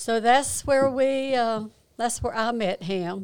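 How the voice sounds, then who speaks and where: A woman speaks with a North Carolina accent at a very slow pace, with ordinary pitch variation. The recording is very clean, with a silent background. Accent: Southern US, North Carolina. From North Carolina, Kannapolis. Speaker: church pianist sharing testimony. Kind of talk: testimony.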